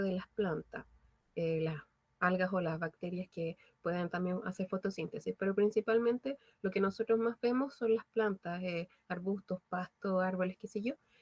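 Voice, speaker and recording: A woman talks at a moderate pace in a plain, everyday voice with ordinary pitch variation. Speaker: biology teacher. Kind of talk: online lecture.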